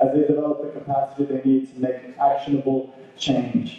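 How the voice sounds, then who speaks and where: In strong room echo, a man speaks fairly quickly with a fairly high pitch. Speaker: event host. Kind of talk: formal introduction. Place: hall.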